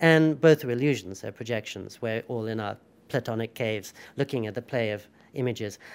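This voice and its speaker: A man speaks with a British accent at a fairly quick pace. His pitch variation is ordinary. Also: medium pitch for a man, very clean recording, silent background. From England. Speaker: writer and journalist. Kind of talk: interview.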